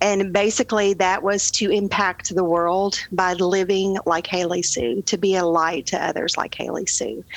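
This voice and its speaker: A woman with an ordinary speaking voice speaks at a medium pitch and a moderate pace. Her intonation is fairly even, with hardly any pauses. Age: 50s. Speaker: charity foundation president. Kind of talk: casual interview.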